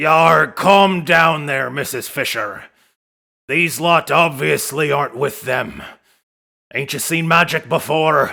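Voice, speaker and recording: A raspy, put-on character voice moves at a fairly slow pace. The recording is very clean, with a silent background. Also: man, fairly high pitch for a man. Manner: surly.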